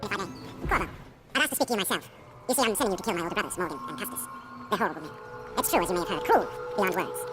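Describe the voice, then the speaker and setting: A man talks at a very fast pace in a put-on character voice, pitched high. Clear music plays in the background. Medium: game stream. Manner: refined, uneasy.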